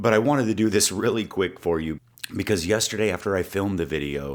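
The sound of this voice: Doing a put-on character voice, a man speaks very fast in a raspy, fairly low pitch.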